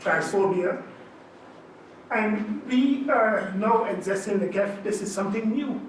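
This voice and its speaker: With noticeable background noise and audible room echo, a man talks at a fairly slow pace using ordinary pitch variation. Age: 60s. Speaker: panelist. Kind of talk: panel discussion. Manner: halting, repeats words.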